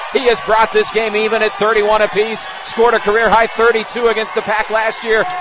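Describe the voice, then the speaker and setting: A man speaks in an animated tone, his pitch high for a man and his loudness very even. Noticeable background noise sits under his voice. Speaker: sports commentator. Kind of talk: live basketball play-by-play commentary. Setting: game broadcast over highlight video. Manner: fast, animated, excitable play-by-play delivery; rapid-fire, clipped calls of each possession.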